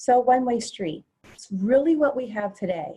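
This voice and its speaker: A woman speaks with lively intonation in a dark, mellow tone that is somewhat breathy. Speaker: webinar presenter. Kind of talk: webinar presentation. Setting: video call. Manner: fast.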